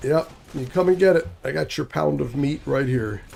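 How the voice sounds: Using a put-on character voice, a man speaks husky and raspy at medium pitch and a moderate pace.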